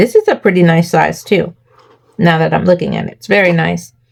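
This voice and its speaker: Here is a woman with a plain, everyday voice. She keeps a moderate pace and a fairly low pitch. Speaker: crafting YouTuber. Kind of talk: tutorial. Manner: casual, conversational.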